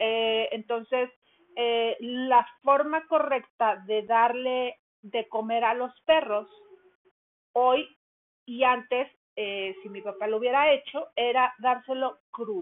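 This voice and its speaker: A high-pitched woman speaks at a very slow pace with fairly even intonation and big swings in loudness. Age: 50s. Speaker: dog care podcaster, runs a dog daycare. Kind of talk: casual monologue. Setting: at home.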